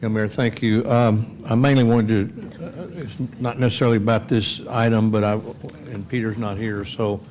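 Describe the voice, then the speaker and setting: A man at medium pitch speaks at a moderate pace with fairly even intonation, amid audible room echo and noticeable background noise. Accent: American. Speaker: city council member. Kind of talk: council meeting discussion.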